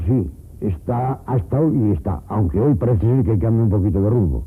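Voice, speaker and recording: A man with a fairly low, somewhat breathy voice talks at a fairly quick pace. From Teruel, Aragon, Spain. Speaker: rural villager. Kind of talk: interview answer.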